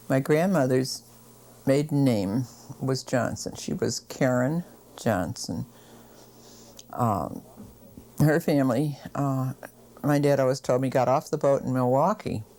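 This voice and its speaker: A woman with an American accent speaks in a very deep, low voice with a dark, mellow tone. She goes at a fairly slow pace with ordinary pitch variation and long, frequent pauses. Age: 70s. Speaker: oral history interviewee. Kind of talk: oral history interview. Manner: hesitant, many fillers.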